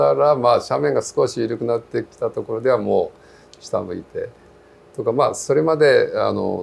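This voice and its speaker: This is a man talking. He keeps a moderate pace. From Japan, Kumamoto (Kyushu). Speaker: veteran mountaineer and trail runner. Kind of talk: interview. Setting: cafe.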